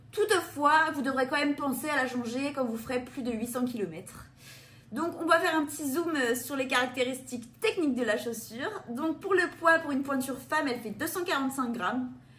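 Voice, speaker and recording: Against noticeable background noise, a woman with a high pitch talks at a fairly quick pace with lively intonation. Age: 20s. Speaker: running shoe reviewer. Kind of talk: product review presentation.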